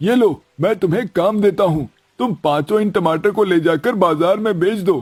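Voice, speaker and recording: A cartoonish character voice from a man, high-pitched, at a moderate pace with hardly any pauses. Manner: warm, gentle.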